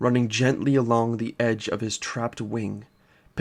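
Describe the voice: Fairly even intonation in a plain read-aloud delivery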